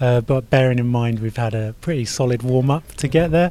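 In a southern English accent, a man talks at a fairly quick pace with a medium pitch. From southern England (Farnham). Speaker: amateur triathlete, software engineer. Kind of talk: interview.

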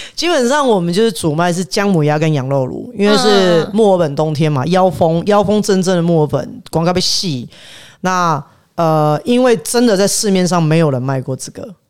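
Against music in the background, a man with a high pitch speaks at a moderate pace in an animated tone with lively intonation. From Taiwan, south. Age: 30s. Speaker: chef. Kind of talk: casual chat.

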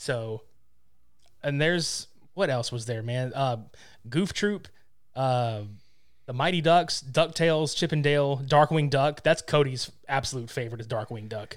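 On a very clean recording with a silent background, the speech moves at a fairly slow pace with long, frequent pauses and ordinary pitch variation. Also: man, fairly high pitch for a man. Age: 30s. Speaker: podcaster. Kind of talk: casual chat.

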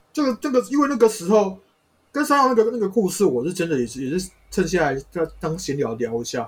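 A man talks very fast in a high voice, his pitch swinging very widely. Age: 30s. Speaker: spirit medium. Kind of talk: casual chat.

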